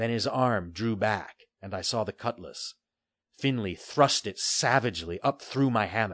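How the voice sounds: A natural reading voice with ordinary pitch variation in a quiet background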